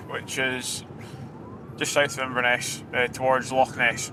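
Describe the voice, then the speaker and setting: A man with a Highland Scottish accent speaks at a moderate pace over noticeable background noise. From Scottish Highlands. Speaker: police officer. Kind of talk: documentary interview.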